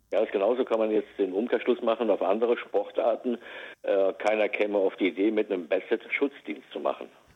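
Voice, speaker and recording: A man's fairly quick speech at a very even loudness. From Westerwald, western Germany. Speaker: search dog trainer and animal recovery specialist. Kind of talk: casual interview. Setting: phone call.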